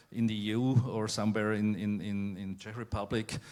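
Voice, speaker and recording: A man speaks with a non-native accent at a fairly low pitch. His intonation is monotone and flat. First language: not English. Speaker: family office representative, panelist. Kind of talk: panel discussion. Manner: halting, searching for words.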